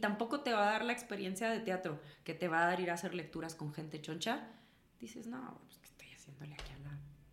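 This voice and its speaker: A woman speaks at a very fast pace, with audible room echo around her voice. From northern Mexico, Chihuahua. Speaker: actress and singer. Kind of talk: casual chat.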